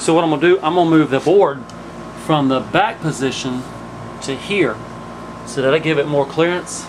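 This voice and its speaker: A man's fairly quick speech, with ordinary pitch variation, comes through noticeable background noise. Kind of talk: casual vlog chat. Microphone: phone near.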